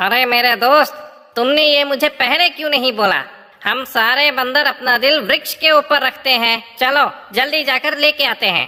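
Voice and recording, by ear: A female-sounding, cartoonish character voice, high-pitched, at a moderate pace.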